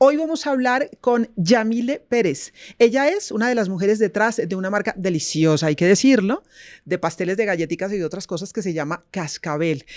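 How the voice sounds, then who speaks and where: A woman speaks at a moderate pace and a medium pitch, with very wide pitch swings. The recording is very clean, the background silent. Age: 60s. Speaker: podcast host. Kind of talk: interview talk show.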